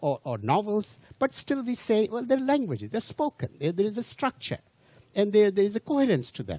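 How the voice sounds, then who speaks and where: A man speaks in a high voice with a dark, mellow tone. His pitch swings very widely, and the sound is dry and close with no echo. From India. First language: not English, Indian language. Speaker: lecturer. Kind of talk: lecture. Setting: cruise ship audience. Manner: halting, with repetitions.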